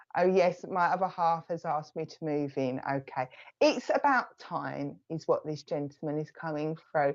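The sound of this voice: With an Essex accent, a woman speaks fairly slowly in a low pitch with ordinary pitch variation. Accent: Essex, south-east English.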